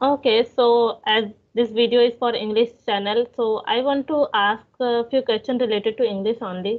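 Speaking in an Indian accent, a woman keeps a moderate pace. Her loudness stays very even. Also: fairly high pitch for a woman, fairly even intonation. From India, Bhopal. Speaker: English teaching YouTuber. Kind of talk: casual chat. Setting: phone call. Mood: friendly, relaxed, smiling. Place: home room. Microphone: video call.

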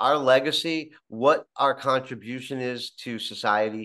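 Ordinary pitch variation from a man at a moderate pace, against a quiet background. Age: 50s. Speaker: podcast host. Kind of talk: interview. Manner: halting. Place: home room. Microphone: video call.

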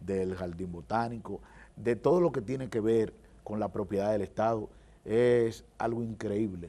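A man's fairly low voice with a dark, mellow tone at a moderate pace. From Dominican Republic, Santo Domingo Este; Dominican Republic. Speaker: government official and lawyer; lawyer. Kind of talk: TV interview. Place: studio. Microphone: lapel.

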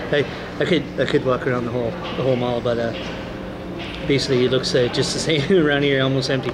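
Loud background noise fills the recording as a man talks at a fairly quick pace. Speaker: vlogger. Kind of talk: casual vlog chat. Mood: glum, resigned. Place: hall. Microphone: phone near.

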